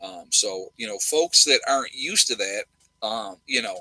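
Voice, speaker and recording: The recording of a man with a New York accent is dry and close, with no echo. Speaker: nurse and prepper live streamer. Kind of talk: live stream chat with viewers. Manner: fast; loud.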